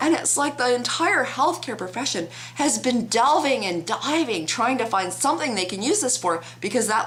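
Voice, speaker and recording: A woman's voice with very wide pitch swings and hardly any pauses, audible room echo and noticeable background noise. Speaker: vlogger. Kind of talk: opinion vlog.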